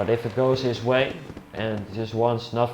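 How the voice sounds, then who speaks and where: There is noticeable background noise as a man with a Dutch accent speaks at a medium pitch with fairly even intonation. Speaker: esports race commentator. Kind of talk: live commentary. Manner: casual.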